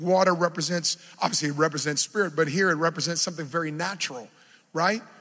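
This man sounds animated, with a bright, sharp tone and ordinary pitch variation, recorded very cleanly against a silent background. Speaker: preacher. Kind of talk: sermon. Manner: loud, yelling; animated, exhorting.

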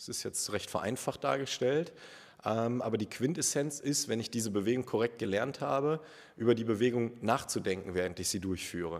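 A man's unremarkable speaking voice at medium pitch, moderate pace and ordinary pitch variation, on a very clean recording with a silent background. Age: 30s. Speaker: personal trainer. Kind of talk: casual interview.

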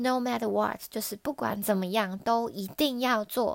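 With a Taiwanese accent, the speaker uses fairly even intonation in a dry, close sound with no echo. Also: woman. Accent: Taiwanese Mandarin. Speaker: podcaster, language learner. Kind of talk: solo podcast monologue.

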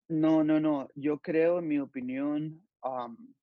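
A man's fairly high voice, very slow pace, fairly even intonation. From Los Angeles, California. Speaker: youth pastor and sportswear company employee. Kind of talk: interview.

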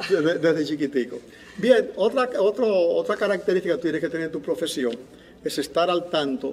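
A man's high-pitched voice with lively intonation. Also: moderate pace. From Dominican Republic, La Vega (Cibao). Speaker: civil engineer and former congressman. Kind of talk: interview testimony.

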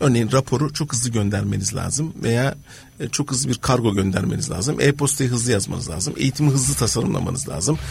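Noticeable background noise sits behind a man at medium pitch. He talks at a fairly quick pace with lively intonation. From Turkey. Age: 50s. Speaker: innovation and change management consultant. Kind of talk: radio interview.

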